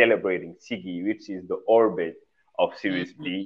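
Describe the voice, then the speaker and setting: In a Senegalese accent, a man speaks at a moderate pace with fairly even intonation. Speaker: fashion designer. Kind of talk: interview conversation. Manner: halting, searching for words.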